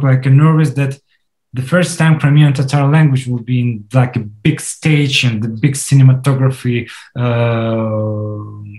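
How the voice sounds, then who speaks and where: Somewhat breathy, a man with a medium pitch and a dark, mellow tone speaks at a fairly slow pace with ordinary pitch variation. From Crimea. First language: Russian. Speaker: film director. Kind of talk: interview. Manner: halting, many fillers and restarts.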